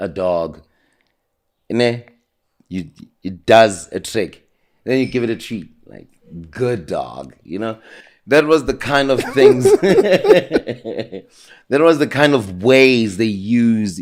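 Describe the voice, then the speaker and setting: A man with a South African accent talks at a very slow pace, leaving long, frequent pauses, in a medium pitch. His intonation is lively and his loudness swings widely. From South Africa, Soweto. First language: isiZulu. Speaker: interview guest. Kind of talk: casual interview.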